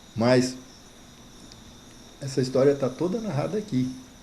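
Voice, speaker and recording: A man is speaking. His pitch swings very widely. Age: 70s. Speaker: pioneer settler and author. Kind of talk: interview. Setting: at his home.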